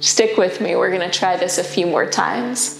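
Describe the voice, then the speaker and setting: A woman is heard in a room with audible echo and faint music in the background. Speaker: yoga teacher. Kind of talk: guided yoga instruction. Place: home room.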